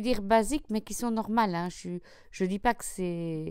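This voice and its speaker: A woman with a Belgian accent speaks at a moderate pace on a very clean recording with a silent background. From Belgium. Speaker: craft YouTuber. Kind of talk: tutorial. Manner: casual, with hesitations.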